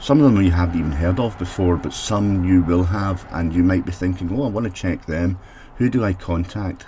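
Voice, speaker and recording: With a Scottish accent, a man speaks in a very deep, low pitch. His pace is fairly quick and his pitch varies in an ordinary way. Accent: Scottish brogue. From Scotland. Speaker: technology consultant for social housing. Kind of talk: solo mini podcast.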